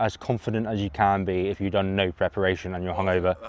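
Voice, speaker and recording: A man with a fairly low pitch talks at a fairly quick pace in an unremarkable speaking voice. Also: dry, close sound with no echo. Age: 20s. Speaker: runner friend. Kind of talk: casual vlog chat. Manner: deadpan.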